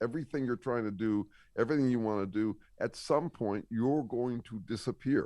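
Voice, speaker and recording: In a plain, everyday voice, a man talks at a fairly quick pace and medium pitch with ordinary pitch variation against a quiet background. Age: 60s. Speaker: scientist and author. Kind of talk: casual interview.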